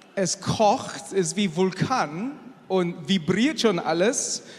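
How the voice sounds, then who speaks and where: A high-pitched male voice with ordinary pitch variation over noticeable background noise. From Asia. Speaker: engineer and church speaker. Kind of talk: sermon.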